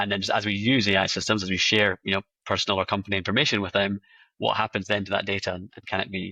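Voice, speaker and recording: A man's fairly low voice in a Scottish accent, very fast and monotone, with a bright, sharp tone and a dry, close sound with no echo. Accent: Scottish, noticeable. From Scotland. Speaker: AI compliance company representative. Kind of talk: interview. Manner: halting, many fillers and repeats.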